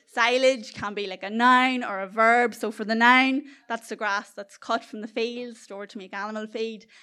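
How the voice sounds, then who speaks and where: A woman with a Northern Irish accent talks at a moderate pace in a fairly high pitch with fairly even intonation, on a very clean recording with a silent background. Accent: South Armagh Northern Irish, noticeable. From South Armagh, Northern Ireland. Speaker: storyteller. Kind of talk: live storytelling, comedic anecdote. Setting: stage with audience.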